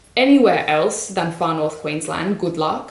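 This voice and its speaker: In an Australian accent, a woman speaks at a moderate pace, with noticeable background noise and audible room echo. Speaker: plant vlogger. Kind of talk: casual vlog haul. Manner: casual, chatty.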